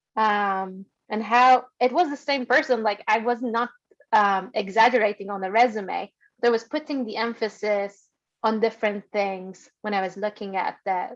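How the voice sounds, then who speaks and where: A woman speaks with an Iranian accent and a fairly high pitch. Her intonation stays fairly even. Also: moderate pace. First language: Persian. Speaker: data science alumna, former urban designer. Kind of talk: webinar discussion. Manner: hesitant, many fillers.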